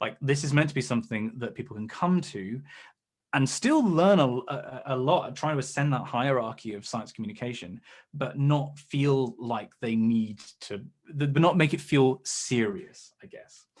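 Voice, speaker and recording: At a moderate pace, a man with an English accent speaks at a medium pitch with ordinary pitch variation, on a very clean recording with a silent background. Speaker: science communicator, YouTuber. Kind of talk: seminar talk. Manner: hesitant fillers.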